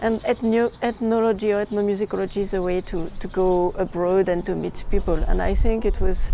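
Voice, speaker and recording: A woman with a French accent speaks in a monotone, flat intonation amid noticeable background noise. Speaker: documentary filmmaker. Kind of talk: interview. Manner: halting.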